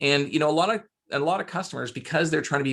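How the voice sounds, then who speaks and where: A man speaks with a Canadian accent at a fairly high pitch. His pace is very fast. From Canada. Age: 40s. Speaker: sales author and consultant. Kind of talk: podcast interview.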